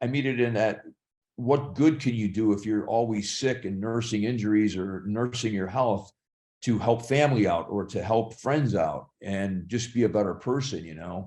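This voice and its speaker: At a moderate pace, a man with a dark, mellow tone and fairly low pitch speaks with ordinary pitch variation. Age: 60s. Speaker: actor and fitness trainer. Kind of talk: podcast interview.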